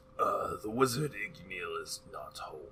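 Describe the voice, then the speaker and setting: A man does a raspy put-on character voice at a fairly slow pace, with clear background noise. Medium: actual play. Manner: haughty.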